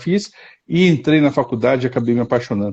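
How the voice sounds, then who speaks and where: Dark and mellow, this man's voice has lively intonation. He keeps a fairly quick pace. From southern Brazil, Curitiba. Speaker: psychotherapist. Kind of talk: interview on a live stream. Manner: halting, many repetitions.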